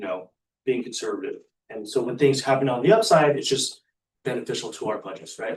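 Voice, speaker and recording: A man speaks at a fairly quick pace. His loudness swings widely. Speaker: school finance presenter. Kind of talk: answering board questions. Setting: board meeting. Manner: fast.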